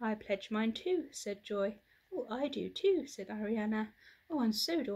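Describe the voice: Someone does a plain reading aloud with lively intonation.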